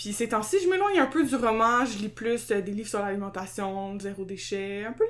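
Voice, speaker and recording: Her pitch swings very widely as a woman talks at a fairly quick pace. She speaks with a Quebec accent. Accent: Québécois French. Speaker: podcast co-host. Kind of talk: casual chat. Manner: loud; energetic.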